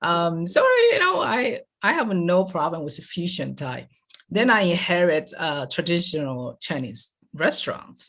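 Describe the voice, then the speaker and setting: A woman with a Taiwanese accent speaks at a fairly slow pace. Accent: Taiwanese Mandarin-accented English. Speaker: lifestyle coach. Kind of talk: interview answer.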